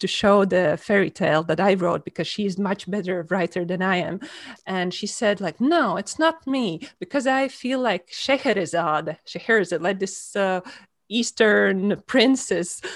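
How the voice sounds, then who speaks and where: A woman with a Latvian accent speaks at medium pitch and a fairly slow pace. The recording is very clean, with a silent background. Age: 40s. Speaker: author. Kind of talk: interview. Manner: halting.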